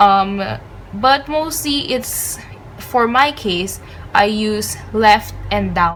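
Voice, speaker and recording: A woman speaks at a very slow pace with a fairly high pitch and lively intonation. Noticeable background noise sits behind her. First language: not English. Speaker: studygram and lettering creator. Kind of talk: tutorial. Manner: hesitant, many filler ums.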